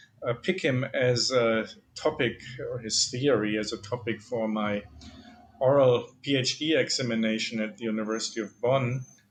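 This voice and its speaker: Speaking with a German accent, a man of medium pitch talks at a moderate pace with fairly even intonation. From Germany. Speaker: philosophy professor. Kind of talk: interview. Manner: hesitant, many fillers.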